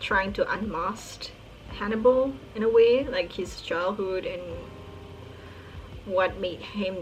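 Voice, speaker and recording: Amid audible room echo and music in the background, a woman with a non-native accent speaks at a fairly slow pace. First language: not English. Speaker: book YouTuber. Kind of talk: casual monologue. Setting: recorded at night. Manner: hesitant, filler-heavy.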